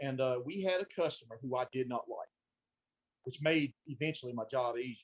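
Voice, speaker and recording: A man with a Southern US accent talks at a fairly quick pace with ordinary pitch variation, in a dry, close sound with no echo. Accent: deep country Southern. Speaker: branch manager at a supply company. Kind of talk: casual chat.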